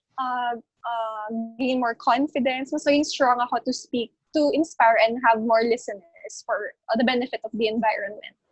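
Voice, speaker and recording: A woman speaks at a high pitch and moderate pace with fairly even intonation, the sound dry and close with no echo, as music plays in the background. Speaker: beauty pageant winner. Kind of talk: interview. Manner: soft-spoken; code-switching English and Tagalog.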